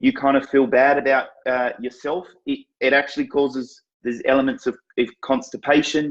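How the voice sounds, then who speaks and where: Speaking in an unremarkable speaking voice, a man keeps a medium pitch, fairly even intonation, and a fairly quick pace. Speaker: fitness marketing coach, live show host. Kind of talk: live stream talk to viewers. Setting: live stream on social media.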